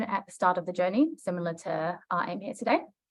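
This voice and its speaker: The speaker talks at a fairly quick pace in a New Zealand accent. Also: woman. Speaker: project consultant. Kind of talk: webinar presentation. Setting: online webinar.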